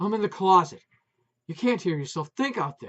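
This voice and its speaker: A man's high-pitched, put-on character voice at a moderate pace. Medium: read story. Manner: loud, emotional.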